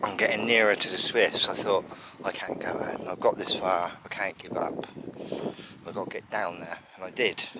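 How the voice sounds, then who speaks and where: With a southern English accent, a man speaks at a moderate pace and with fairly even intonation, while noticeable background noise runs behind him. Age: 60s. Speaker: birdwatching vlogger. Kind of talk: casual vlog narration. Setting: outdoors.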